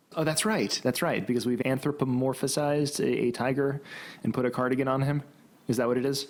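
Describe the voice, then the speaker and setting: A man talks at a fairly quick pace with very even loudness and ordinary pitch variation, in a very clean recording with a silent background. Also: medium pitch for a man. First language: Greek. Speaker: podcast co-host. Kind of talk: casual chat. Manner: playful.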